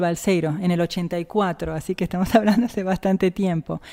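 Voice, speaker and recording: Using an unremarkable speaking voice, a woman talks at a medium pitch with fairly even intonation. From Argentina, Jujuy. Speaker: physicist and professor. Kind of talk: interview.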